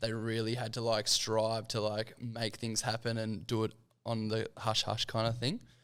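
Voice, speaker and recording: Recorded very cleanly over a silent background, a man speaks with an Australian accent. His pitch is medium and his pace moderate. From Sydney, Australia. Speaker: podcast host. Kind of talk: casual chat. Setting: podcast.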